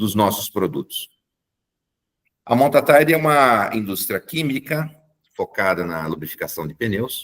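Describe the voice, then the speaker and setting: In a dry, close recording with no echo, a man speaks fairly slowly. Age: 60s. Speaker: engineer and company technical director. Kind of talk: corporate presentation. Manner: hesitant, frequent filler 'é'.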